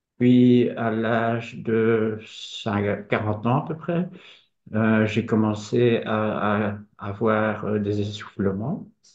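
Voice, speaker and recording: With audible room echo, a man speaks at a very slow pace and fairly low pitch, using ordinary pitch variation. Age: 50s. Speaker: patient. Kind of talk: testimony.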